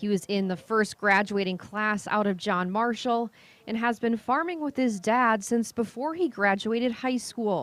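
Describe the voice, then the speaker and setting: A woman talks in a plain, everyday voice at a fairly high pitch, with ordinary pitch variation and a moderate pace. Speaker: TV news reporter. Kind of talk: TV news report.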